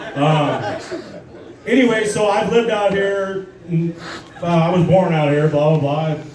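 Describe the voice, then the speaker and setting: Through audible room echo and noticeable background noise, a man with an American accent speaks at a moderate pace with ordinary pitch variation. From Southern California desert, Morongo Valley. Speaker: amateur stand-up comedian. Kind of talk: stand-up. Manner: halting, many fillers.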